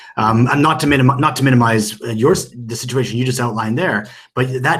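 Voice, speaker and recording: This man talks at a very fast pace, his medium-pitched voice somewhat breathy. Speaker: podcast co-host, whisky expert. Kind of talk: casual podcast discussion. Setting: remote call.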